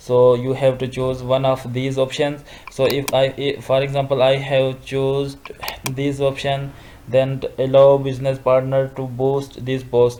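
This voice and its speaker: Over noticeable background noise, a man talks in a flat monotone at a medium pitch and a fairly slow pace. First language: not English. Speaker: social media tutorial youtuber. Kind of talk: screen-recorded tutorial. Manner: halting, many fillers and restarts.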